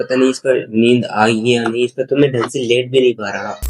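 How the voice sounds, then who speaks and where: A man's medium-pitched voice at a moderate pace, with monotone, flat intonation. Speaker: YouTuber doing challenge videos. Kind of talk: vlog, casual chat.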